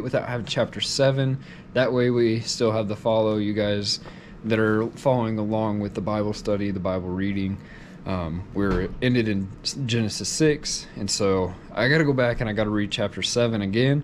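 The speaker talks at a moderate pace with ordinary pitch variation over light background noise. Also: man, fairly low pitch for a man. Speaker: vlogger. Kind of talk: casual vlog chat. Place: home room. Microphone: phone near.

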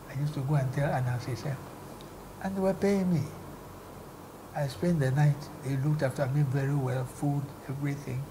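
Over noticeable background noise, a man with a dark, mellow tone and a fairly high pitch talks at a fairly quick pace, somewhat breathy, with fairly even intonation and long, frequent pauses. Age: 80s+. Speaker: former broadcast commentator. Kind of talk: interview answer. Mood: cheerful, animated storytelling. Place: home room. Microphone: lapel.

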